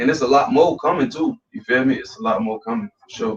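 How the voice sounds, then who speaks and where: A man speaks with a fairly high pitch. His pitch swings very widely. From West Orlando, Florida. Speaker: rapper. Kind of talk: interview. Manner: casual, repetitive fillers.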